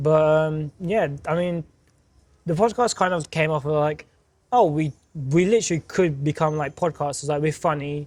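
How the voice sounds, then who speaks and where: Mumbling in a British accent, a man speaks with a fairly high pitch and ordinary pitch variation. The recording is very clean, with a silent background. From Turkey. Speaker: podcast co-host. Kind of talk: casual chat. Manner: fast.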